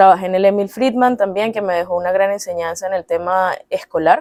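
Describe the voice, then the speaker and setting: This woman has a dark, mellow tone and medium pitch. She speaks in a Caracas Venezuelan accent. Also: dry, close sound with no echo. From Venezuela, Caracas. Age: 30s. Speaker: psychologist. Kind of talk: interview.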